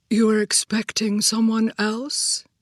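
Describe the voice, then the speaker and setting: A woman puts on a character voice at a fairly high pitch, speaking at a fairly slow pace. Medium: read story. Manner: dry, understated.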